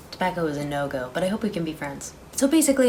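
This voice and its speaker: Over background music, a woman with a fairly low voice talks at a very fast pace with very wide pitch swings. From Ukraine. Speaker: commentary youtuber. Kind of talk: casual commentary.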